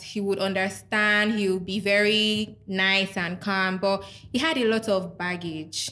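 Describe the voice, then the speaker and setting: Speaking at a fairly slow pace, a woman with a Nigerian accent has a medium pitch, a bright, sharp tone and ordinary pitch variation. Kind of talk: casual chat. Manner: outspoken.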